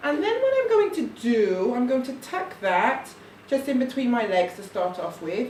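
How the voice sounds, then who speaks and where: A soft-spoken woman at a fairly high pitch, with audible room echo and noticeable background noise. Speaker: parent demonstrating baby carrying. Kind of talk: tutorial.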